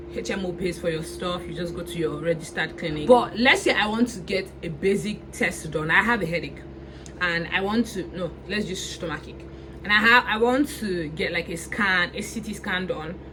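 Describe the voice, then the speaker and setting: With a strong Nigerian accent, the speaker talks at a moderate pace with ordinary pitch variation, amid noticeable background noise and audible room echo. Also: woman, fairly low pitch for a woman. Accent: thick Nigerian. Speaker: vlogger and international student. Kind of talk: casual vlog. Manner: casual, many fillers and restarts.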